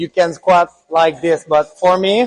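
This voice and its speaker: A man speaks in a high voice with a Quebec accent. He keeps a fairly slow pace and fairly even intonation. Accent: French Canadian accent in English. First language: French. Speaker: fitness coach and naturopath. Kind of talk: tutorial.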